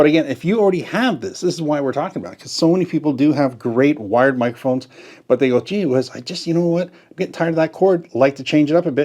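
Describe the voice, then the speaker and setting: A man with a fairly high pitch talks very fast in a dark, mellow tone, with ordinary pitch variation and big swings in loudness. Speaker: tech product reviewer. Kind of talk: product review tutorial. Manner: casual, chatty.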